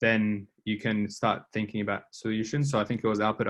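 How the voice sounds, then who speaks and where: Here a man talks at a fairly quick pace. His pitch is fairly low. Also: quiet background. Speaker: design instructor. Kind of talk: lecture. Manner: fast; hesitant fillers.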